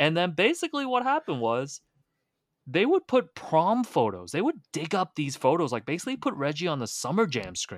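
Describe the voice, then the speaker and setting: With a Canadian accent, a man talks at a fairly quick pace in a high pitch with very wide pitch swings, the sound dry and close with no echo on a very clean recording with a silent background. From Hong Kong, raised in Toronto. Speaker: basketball writer and author. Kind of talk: casual chat.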